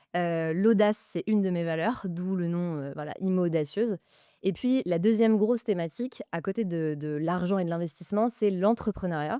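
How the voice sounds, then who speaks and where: A woman talks at a moderate pace in a medium pitch, with a dark, mellow tone and ordinary pitch variation. The recording is very clean with a silent background and a dry, close sound free of echo. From France, housing estate. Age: 30s. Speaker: investor and podcaster. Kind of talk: casual interview.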